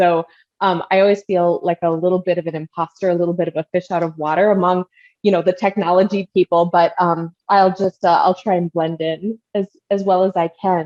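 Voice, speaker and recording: A woman speaks at a fairly quick pace with an American accent. Her intonation is monotone and flat, and the sound is dry and close with no echo. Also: medium pitch for a woman. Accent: Midwestern, comes out at times. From Minnesota. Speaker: marketing strategist. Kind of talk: podcast interview. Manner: casual, many filler words.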